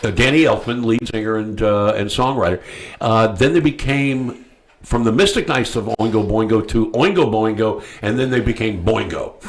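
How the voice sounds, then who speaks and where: A man's medium-pitched voice, with ordinary pitch variation, keeps to a moderate pace. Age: 60s. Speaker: talk show host. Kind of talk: casual chat. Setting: studio. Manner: halting, many fillers.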